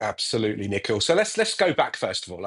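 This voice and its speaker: This man's voice shows vocal fry and very wide pitch swings, set against a quiet background. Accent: British. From England. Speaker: technology executive. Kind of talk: interview. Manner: halting, many repetitions.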